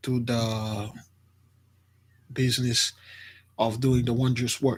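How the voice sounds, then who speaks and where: A very slow, soft-spoken man with a somewhat breathy voice, on a very clean recording with a silent background. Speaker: spiritual teacher. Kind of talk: religious teaching.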